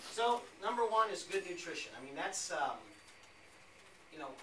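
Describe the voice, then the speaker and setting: Audible room echo and noticeable background noise fill the recording. The man talks at a fairly quick pace. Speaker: health practitioner giving a talk. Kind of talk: health seminar talk to audience. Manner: fast.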